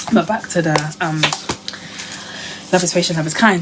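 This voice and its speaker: Against noticeable background noise, a woman with a fairly low pitch talks at a fairly quick pace. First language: not English. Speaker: lifestyle vlogger. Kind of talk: casual chat. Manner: rambling conversational.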